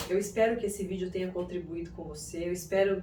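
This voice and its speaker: With audible room echo, a woman talks at a fairly quick pace. Her medium-pitched voice has vocal fry and a dark, mellow tone. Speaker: psychoanalyst and self-development youtuber. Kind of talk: video monologue. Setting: room without air conditioning.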